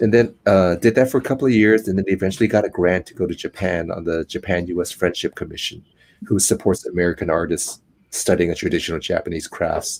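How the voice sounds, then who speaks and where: In a Cantonese accent, a man with a very deep, low pitch and ordinary pitch variation speaks very fast on a very clean recording with a silent background. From US West Coast, Oakland, California. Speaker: actor and flute maker. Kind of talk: interview. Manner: calm.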